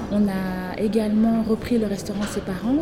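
A woman with a fairly high pitch speaks at a fairly slow pace. Audible room echo and noticeable background noise surround her voice. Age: 30s. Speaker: accountant and business coach. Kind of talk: interview.

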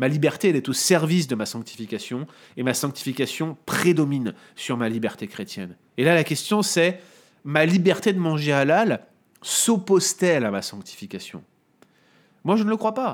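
Delivered at a moderate pace with long, frequent pauses, the speech has very wide pitch swings in a very clean recording with a silent background. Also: man, fairly high pitch for a man. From France, Paris area (Montreuil). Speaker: Bible teacher. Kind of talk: explanatory theological discussion. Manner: hesitant, with fillers and repetitions.

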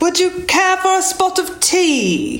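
In a put-on character voice with a British accent, the speaker talks at an extremely high pitch and a fairly slow pace. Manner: posh, exaggerated.

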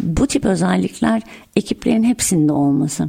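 Noticeable background noise runs through the clip. Over it, a woman talks at a moderate pace. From Antalya, Turkey. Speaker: tech company founder and CEO. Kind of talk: interview.

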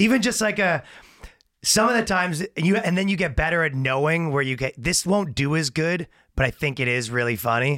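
At a fairly quick pace and with lively intonation, a man with a Canadian accent speaks in a fairly high, bright, sharp voice, captured in a very clean recording with a silent background. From Canada. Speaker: comedian. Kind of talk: casual chat.

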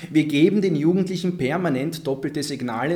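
A man talks at a moderate pace in an ordinary speaking voice, with ordinary pitch variation. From Vienna, Austria (Favoriten), Egyptian family. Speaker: political scientist, deradicalisation expert. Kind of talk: panel discussion. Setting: live recording with audience.

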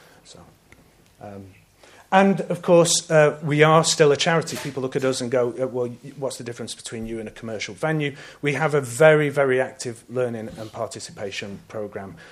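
A man speaks in a normal speaking voice at a medium pitch. His pace is fairly quick, and his pitch varies in an ordinary way. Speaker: arts venue director giving presentation. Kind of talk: conference presentation. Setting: conference hall with audience.

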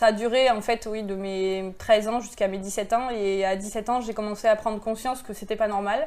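A woman talks at a moderate pace with hardly any pauses. Her intonation is monotone and flat. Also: fairly high pitch for a woman. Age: 40s. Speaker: abuse survivor sharing her story. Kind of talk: testimony. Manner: halting.

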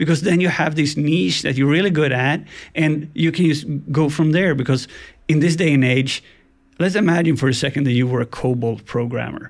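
A man with a Swedish accent, ordinary pitch variation and a moderate pace. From Sweden, Gothenburg. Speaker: ethical hacker. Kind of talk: casual interview.

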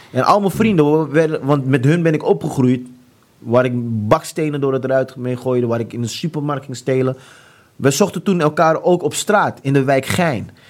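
A man's fairly high-pitched voice keeps to a moderate pace. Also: ordinary pitch variation. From Amsterdam, Netherlands. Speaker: author sharing conversion story. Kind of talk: testimony. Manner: halting, many fillers.

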